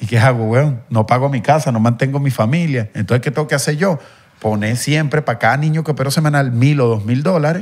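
Somewhat breathy and at a very fast pace, the speaker talks with a Venezuelan accent and ordinary pitch variation. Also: man. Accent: Venezuelan street accent from Guatire. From Venezuela, Guatire. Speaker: content creator. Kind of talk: casual chat. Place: studio. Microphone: handheld.

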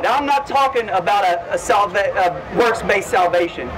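Talking at a fairly quick pace, a man is heard through loud background noise. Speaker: street preacher. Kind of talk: open-air street preaching, loud and persuasive. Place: street.

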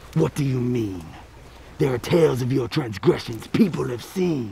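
His voice sits at a medium pitch for a man, rising and falling across a very wide range. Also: moderate pace. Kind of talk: rhyming fairy-tale dialogue. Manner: stern, suspicious.

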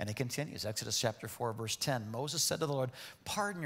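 A natural reading voice, lively in its intonation

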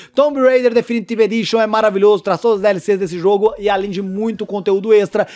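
Against a quiet background, a man speaks in an animated tone with a high pitch. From Brazil. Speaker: gaming youtuber. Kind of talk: sales pitch. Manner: animated, hyped-up salesman delivery. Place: home room.

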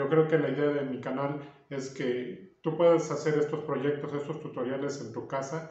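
In a room with audible echo, a man speaks fairly slowly at a fairly high pitch, somewhat breathy and monotone, with flat intonation. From Mexico, Puebla (Cholula). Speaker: carpenter and woodworking youtuber. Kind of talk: interview answers. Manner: hesitant, many fillers. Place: home room. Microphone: camera far.

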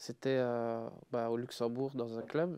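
The delivery is very slow and monotone, with flat intonation and a dark, mellow tone. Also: man. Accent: Liège. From Belgium, Liège; Belgium. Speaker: DJ; guest. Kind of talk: casual chat. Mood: relaxed, smiling storytelling. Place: studio. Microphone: lapel.

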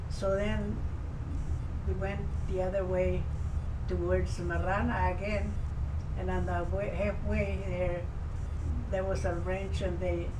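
A man talks at a fairly slow pace with ordinary pitch variation and long, frequent pauses. Noticeable background noise runs underneath. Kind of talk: interview answer. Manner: very elderly, frail storytelling voice. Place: home room. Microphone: camera far.

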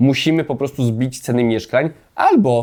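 Heard in a very clean recording with a silent background, a man speaks at a medium pitch. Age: 30s. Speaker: political commentator. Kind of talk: opinion monologue. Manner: animated.

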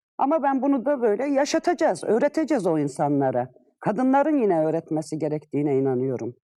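Her dark, mellow voice sits at a medium pitch for a woman yet swings very widely, moving at a moderate pace. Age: 50s. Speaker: retired civil servant. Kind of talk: interview. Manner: hesitant fillers.

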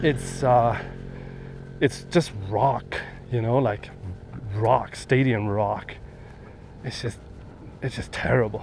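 A man's medium-pitched, fairly even voice at a very slow pace, with long, frequent pauses, a dry sound with no echo, and light background noise. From Germany. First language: German. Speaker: travel vlogger. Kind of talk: casual vlog monologue. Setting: outdoors. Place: open country. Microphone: phone near.

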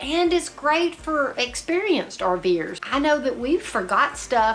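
Over faint background music, a woman speaks fairly slowly at a high pitch. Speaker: RV travel vlogger. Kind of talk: casual vlog chat. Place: home room.

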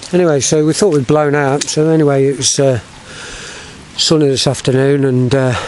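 The sound is dry with no echo, and light background noise can be heard. A man speaks at a moderate pace with fairly even intonation. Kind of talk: casual vlog commentary. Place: waterside. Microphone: phone near.

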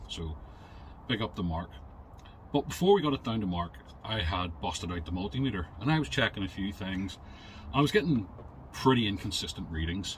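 A man's very deep, low voice, somewhat breathy, with lively intonation at a fairly quick pace over light background noise. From UK. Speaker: car repair YouTuber; car repair channel host. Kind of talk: product review. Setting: in a shed. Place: garage. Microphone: phone near.

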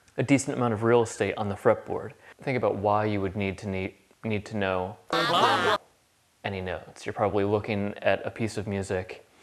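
This is a plain, everyday voice at a fairly quick pace. The intonation stays fairly even. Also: man, fairly low pitch for a man. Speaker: guitar teacher. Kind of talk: tutorial. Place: kitchen.

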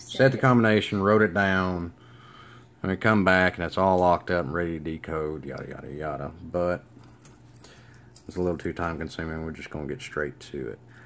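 Over light background noise, a man with a Southern US accent talks at a fairly quick pace in a very deep, low pitch, with ordinary pitch variation and big swings in loudness. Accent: Southern US, country. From Alabama. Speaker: lock hobbyist. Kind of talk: casual how-to demonstration to camera. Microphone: phone near.

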